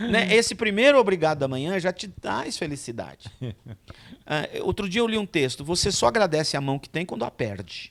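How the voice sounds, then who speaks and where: Against noticeable background noise, a man's high voice moves through very wide pitch swings. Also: moderate pace. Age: 60s. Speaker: pastor. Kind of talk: casual chat.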